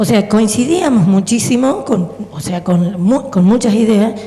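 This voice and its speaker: A woman's very slow speech amid audible room echo and noticeable background noise. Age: 60s. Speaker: audience member. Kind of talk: audience comment at Q&A. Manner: halting.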